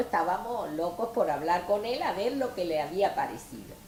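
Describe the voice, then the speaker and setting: A woman's lively intonation unfolds at a fairly slow pace, with noticeable background noise behind her. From Melilla and Tetuán, northern Morocco. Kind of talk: oral history interview answer.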